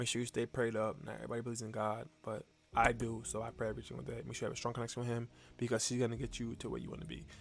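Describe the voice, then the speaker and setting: Quietly and at a very fast pace, a man speaks with a medium pitch and fairly even intonation while music plays in the background. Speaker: motivational vlogger. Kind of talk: casual motivational monologue. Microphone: new mic.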